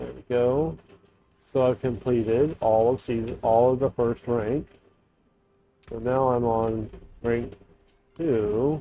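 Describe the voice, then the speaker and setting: A man's medium-pitched voice, very slow, with long, frequent pauses and fairly even intonation. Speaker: gaming streamer. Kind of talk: gameplay livestream commentary. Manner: quiet, trying to talk louder; halting, many fillers.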